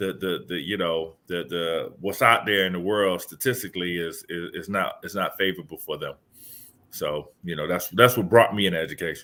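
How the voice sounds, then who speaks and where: In a Southern accent, a man speaks with a very deep, low pitch and a bright, sharp tone, at a moderate pace. His intonation stays fairly even, and the recording is very clean with a silent background. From Miami, Florida (US South). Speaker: education speaker and author. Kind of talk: podcast interview. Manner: halting, with many repeated words.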